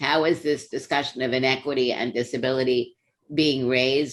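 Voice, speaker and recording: A woman speaks in a very deep, low voice. Her intonation stays fairly even. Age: 70s. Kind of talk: panel discussion.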